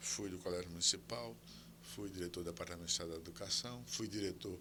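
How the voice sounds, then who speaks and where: A man speaks at a fairly quick pace in a very deep, low voice with vocal fry, his pitch swinging very widely and his tone bright and sharp. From Brazil, Alagoas (São Miguel dos Campos). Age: 80s+. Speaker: historian and professor. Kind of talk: interview conversation.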